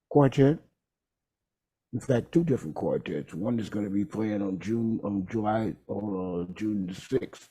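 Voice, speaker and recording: Speaking fairly slowly with an American accent, a man has a fairly low voice with a dark, mellow tone. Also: ordinary pitch variation. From Texas, Houston. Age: 60s. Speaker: jazz trombonist and bandleader. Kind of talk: interview. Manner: halting.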